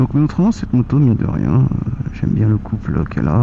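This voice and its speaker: A soft-spoken man is heard over noticeable background noise. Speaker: motorcycle vlogger. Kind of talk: casual vlog monologue while riding. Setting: riding a motorcycle outdoors. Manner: hesitant, many fillers.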